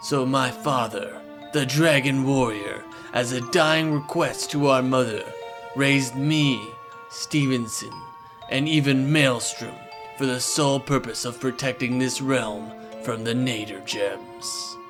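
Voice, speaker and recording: A man's cartoonish character voice at medium pitch, fairly slow, with clear music in the background. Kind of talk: epic fantasy narration.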